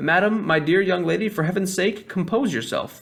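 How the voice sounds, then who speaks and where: A man shouts in a shaky, put-on character voice with a high pitch, keeping a moderate pace. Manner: trembling scream.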